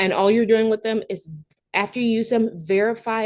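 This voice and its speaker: Speech at a moderate pace comes over a quiet background. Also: woman. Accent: Southern US. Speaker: veterinary practice management speaker. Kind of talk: webinar presentation. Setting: online webinar.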